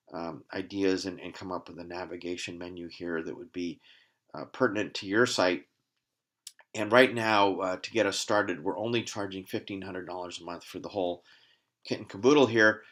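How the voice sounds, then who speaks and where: At a fairly quick pace, a man speaks with a very deep, low pitch, ordinary pitch variation and big swings in loudness. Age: 60s. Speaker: company CEO presenting his product. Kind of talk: sales pitch. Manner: casual, with frequent fillers.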